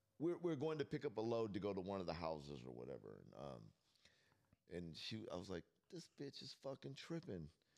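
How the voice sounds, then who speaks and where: A man with vocal fry and a fairly low pitch talks at a moderate pace. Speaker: podcast co-host. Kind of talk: casual chat. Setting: studio.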